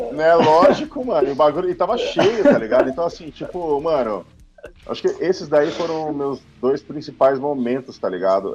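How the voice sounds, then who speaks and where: Moderate pace from a man with a fairly high pitch and very wide pitch swings, music in the background. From São Paulo, Brazil. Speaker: metal band musician. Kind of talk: casual chat. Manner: animated.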